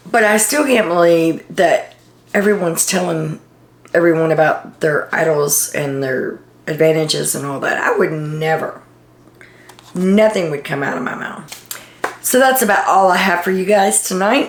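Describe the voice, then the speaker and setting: Over noticeable background noise, a woman with a fairly low pitch talks at a moderate pace with lively intonation. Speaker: reality TV commentator. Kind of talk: casual video monologue.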